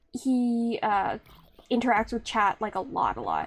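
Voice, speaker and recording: A woman with a Canadian accent speaks at a fairly high pitch, her pitch rising and falling an ordinary amount. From Canada. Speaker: streamer. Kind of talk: casual live-stream chat while gaming. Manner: halting, many fillers and restarts.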